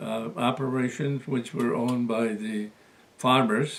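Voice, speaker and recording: Intonation stays fairly even as a man speaks at a very slow pace. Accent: American. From USA. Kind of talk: interview answer.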